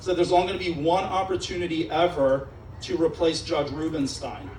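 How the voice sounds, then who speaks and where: Someone talks with a Pennsylvania accent over noticeable background noise. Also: man, high pitch for a man, fairly quick pace. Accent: American, Pennsylvania. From Israel. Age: 40s. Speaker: judicial candidate. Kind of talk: campaign speech. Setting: restaurant event with live audience. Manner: animated. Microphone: PA microphone with echo in his ear.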